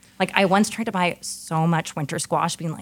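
A woman's unremarkable speaking voice with an American accent, fairly low in pitch, at a moderate pace with fairly even intonation. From US West Coast, San Francisco. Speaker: chef and restaurant owner. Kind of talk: casual interview conversation.

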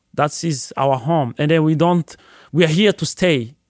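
A man with a fairly high voice speaks at a moderate pace. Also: very clean recording, silent background. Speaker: restaurant owner and chef. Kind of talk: interview. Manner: halting.

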